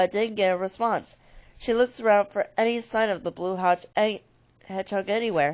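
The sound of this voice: This is an unforced reading voice. The text is read aloud without strain.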